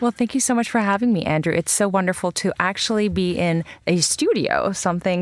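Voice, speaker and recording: A woman with an American accent talks at a fairly quick pace with ordinary pitch variation, against noticeable background noise. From Iran. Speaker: journalist and professor. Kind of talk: radio panel discussion. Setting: studio.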